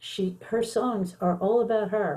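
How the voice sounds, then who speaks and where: A woman with an American accent speaks at a fairly slow pace in a dark, mellow, somewhat breathy tone. Her intonation is fairly even. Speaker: songwriter and schoolteacher. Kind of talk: interview.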